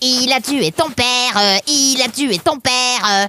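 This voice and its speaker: This is a put-on character voice with a fairly high pitch. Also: fairly slow pace. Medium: read story. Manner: mock-formal, taunting.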